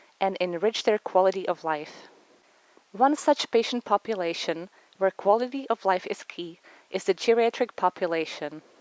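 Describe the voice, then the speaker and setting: In a Czech accent, a woman speaks with lively intonation, the sound dry and close with no echo. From Czech Republic. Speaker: physician. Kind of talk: research presentation. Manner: formal.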